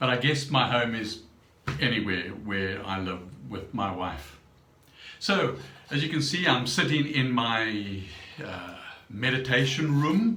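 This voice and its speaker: There is audible room echo and noticeable background noise. A man at medium pitch speaks at a very slow pace with long, frequent pauses and very wide pitch swings. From South Africa. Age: 70s. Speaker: vlogger. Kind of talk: personal vlog monologue. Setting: home meditation room. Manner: halting, many fillers.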